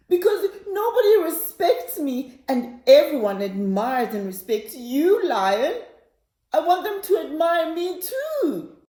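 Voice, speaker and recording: In a whiny, put-on character voice, a woman speaks at a fairly slow pace, her extremely high pitch making very wide swings. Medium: read story. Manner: whining, stammering.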